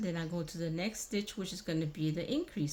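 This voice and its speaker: A woman is mumbling. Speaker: crochet tutorial host. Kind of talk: tutorial. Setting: old abandoned building. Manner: casual, step-by-step; mumbling to herself while counting stitches.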